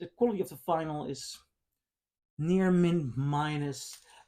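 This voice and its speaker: Someone speaks with a Dutch accent. The pace is moderate. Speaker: vinyl record reviewer. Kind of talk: casual review monologue. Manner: hesitant, many fillers.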